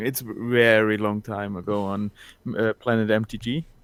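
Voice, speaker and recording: A man with a medium-pitched voice talks fairly slowly. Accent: German. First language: German. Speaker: caller. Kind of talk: casual chat. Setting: video call. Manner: halting.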